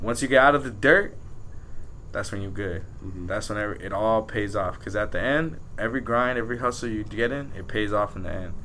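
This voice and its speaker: A man talks at a fairly quick pace, his fairly low voice bright and sharp in tone with ordinary pitch variation. Audible room echo surrounds him. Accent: American. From Southern California, Pico Rivera. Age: 20s. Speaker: rapper. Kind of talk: casual interview chat.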